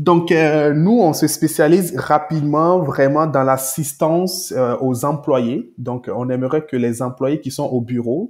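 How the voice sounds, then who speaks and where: Fairly high in pitch, a man speaks very slowly with ordinary pitch variation. He leaves hardly any pauses. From Togo, West Africa. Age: 20s. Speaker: entrepreneur. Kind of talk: interview.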